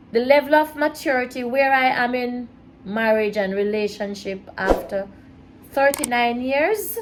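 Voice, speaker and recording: A woman with a high pitch, ordinary pitch variation and a fairly slow pace, against noticeable background noise. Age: 60s. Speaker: mother of the host, married woman. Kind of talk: casual chat. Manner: soft-spoken.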